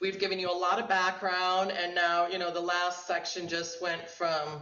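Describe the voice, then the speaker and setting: A woman at a moderate pace, with audible room echo. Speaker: art lecturer. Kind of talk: lecture discussion.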